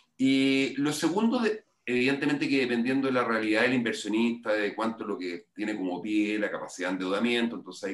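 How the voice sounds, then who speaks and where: A man with a Chilean accent, medium pitch and a fairly quick pace. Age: 50s. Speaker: financial education consultant. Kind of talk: interview.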